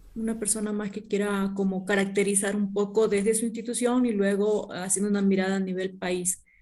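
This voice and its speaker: With a dark, mellow tone at a medium pitch, a woman talks fairly quickly in a flat monotone, with hardly any pauses. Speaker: focus group moderator, master's student. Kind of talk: focus group moderation. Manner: fast.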